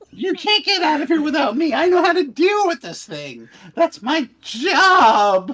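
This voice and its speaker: A whiny, high-pitched put-on character voice with a whiny tone at a moderate pace. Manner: pleading, whiny.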